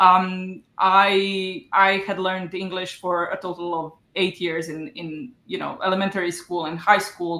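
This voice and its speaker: Speaking with a non-native accent, a woman has a medium pitch. Her pace is fairly slow. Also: fairly even intonation. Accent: non-native English speaker. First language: Croatian. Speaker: novelist and book coach. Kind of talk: interview. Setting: video call. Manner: halting, many fillers.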